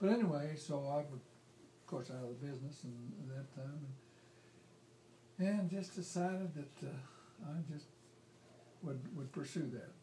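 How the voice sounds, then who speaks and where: A man with an American accent, fairly high in pitch, at a moderate pace with ordinary pitch variation and long, frequent pauses, against noticeable background noise. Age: 80s+. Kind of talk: family storytelling, life story. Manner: rambling, hesitant.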